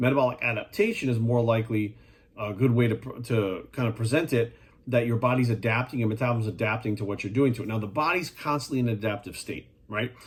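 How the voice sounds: The voice moves at a fast pace with ordinary pitch variation. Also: man, medium pitch for a man.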